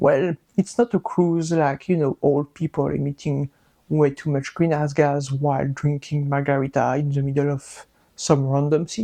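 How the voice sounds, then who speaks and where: The speaker talks at a fairly slow pace with a strong French accent. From France. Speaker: microbiologist and science educator. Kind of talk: casual science explainer. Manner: animated, joking.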